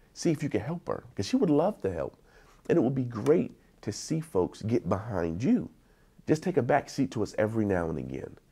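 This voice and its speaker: A man with an American accent talks at a fairly quick pace in a medium pitch, his dark, mellow tone carrying vocal fry and very wide pitch swings, on a very clean recording with a silent background. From East Wheeling, West Virginia. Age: 40s. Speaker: youth counselor. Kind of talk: interview answer. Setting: outdoors.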